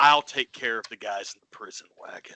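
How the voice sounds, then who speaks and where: A man's raspy, put-on character voice at a fairly quick pace, with big swings in loudness. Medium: actual play. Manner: curt, commanding.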